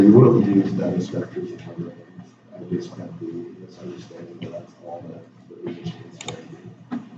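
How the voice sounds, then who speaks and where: A man mumbles at a moderate pace, his loudness swinging widely. Noticeable background noise and audible room echo fill the recording. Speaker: student presenter. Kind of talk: class presentation. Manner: mumbling.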